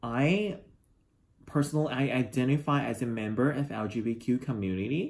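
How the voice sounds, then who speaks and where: Speaking at a fairly quick pace with lively intonation and a Chinese accent, the voice comes through in a very clean recording with a silent background. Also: man, medium pitch for a man. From China. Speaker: international student. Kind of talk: interview testimony.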